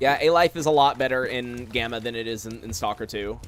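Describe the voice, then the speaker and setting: The man's medium pitch and ordinary pitch variation come through against noticeable background noise. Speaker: gaming streamer. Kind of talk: live stream gameplay commentary. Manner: fast; casual, filler-heavy.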